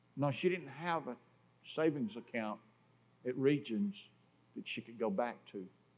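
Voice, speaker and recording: A fairly high-pitched man with a Southern US accent, lively intonation, big swings in loudness, a moderate pace and long, frequent pauses. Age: 60s. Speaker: preacher. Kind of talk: sermon. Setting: church.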